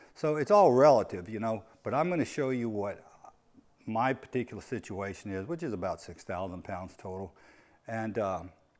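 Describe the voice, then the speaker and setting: A man's medium-pitched voice with lively intonation, in a very clean recording with a silent background. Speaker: truck owner vlogger. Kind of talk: casual tutorial vlog. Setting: in a truck. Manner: slow; halting, many fillers and repeats.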